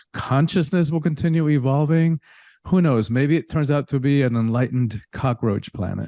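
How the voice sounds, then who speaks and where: A man's dark, mellow tone comes through in a dry, close sound with no echo and a quiet background. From Cuba, then rural Georgia and Miami, US. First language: Spanish. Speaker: spiritual teacher and coach. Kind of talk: interview conversation.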